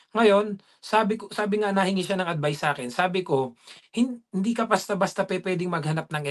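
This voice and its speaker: A man's high voice with lively intonation at a moderate pace, against a quiet background. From Philippines. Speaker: dairy farm worker and vlogger; vlogger. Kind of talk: casual interview. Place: home room. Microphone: video call.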